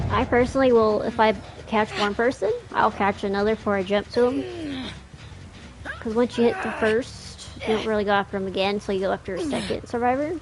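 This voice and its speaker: A woman talks at a fairly quick pace with an American accent. Noticeable background noise is present. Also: fairly high pitch for a woman, ordinary pitch variation. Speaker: gaming streamer. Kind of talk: gameplay commentary tutorial. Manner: casual, slightly halting.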